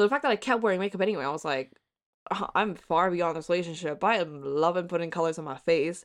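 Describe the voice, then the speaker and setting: A woman with an American accent talks at a very fast pace. Her pitch is fairly low. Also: ordinary pitch variation. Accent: American-sounding. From Hong Kong. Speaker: independent journalist. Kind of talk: casual chat.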